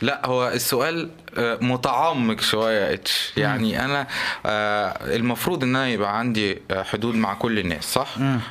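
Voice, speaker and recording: Over noticeable background noise, a man with an Egyptian accent speaks fairly slowly at a medium pitch, with ordinary pitch variation and very even loudness. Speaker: podcast co-host. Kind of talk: casual chat.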